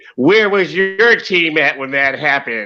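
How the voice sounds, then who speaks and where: A man puts on a character voice at a fairly high pitch, delivered at a moderate pace. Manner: put-on imitation voice.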